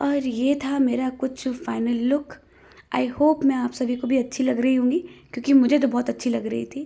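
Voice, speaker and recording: A woman's high pitch at a moderate pace. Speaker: vlogger. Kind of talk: vlog narration. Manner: casual, chatty.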